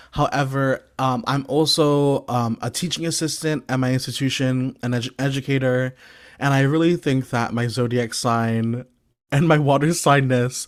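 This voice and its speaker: This man has an ordinary speaking voice with an American accent and medium pitch. He talks at a moderate pace with ordinary pitch variation. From US Northeast, Brooklyn, New York. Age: 20s. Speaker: PhD student and guest lecturer. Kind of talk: lecture. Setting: video call.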